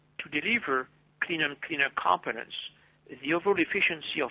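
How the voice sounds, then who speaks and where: Fairly high in pitch for a man, this voice has a French accent and lively intonation. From France. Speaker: marketing manager presenting a webinar. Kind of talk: webinar presentation. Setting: online webinar. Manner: formal.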